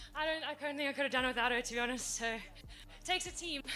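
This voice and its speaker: Over music in the background, a woman with a South African accent speaks very fast in a raised, projected voice, her pitch high with ordinary variation. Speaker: athlete. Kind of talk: post-event interview.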